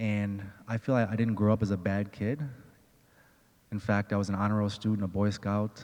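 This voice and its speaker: Soft-spoken and very even in loudness, a man talks at a fairly quick pace in a fairly low pitch. His intonation is monotone and flat, with long, frequent pauses. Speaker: restorative justice advocate, former prisoner. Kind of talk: personal testimony.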